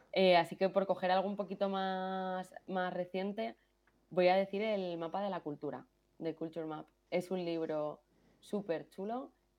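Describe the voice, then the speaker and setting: A woman speaks at a fairly slow pace with a medium pitch and fairly even intonation. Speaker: product manager. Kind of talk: podcast interview.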